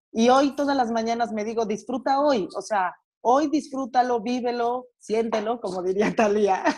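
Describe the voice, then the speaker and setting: An unremarkable speaking voice with ordinary pitch variation, moving at a fairly slow pace. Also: woman, fairly high pitch for a woman. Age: 30s. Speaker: guest. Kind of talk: casual chat.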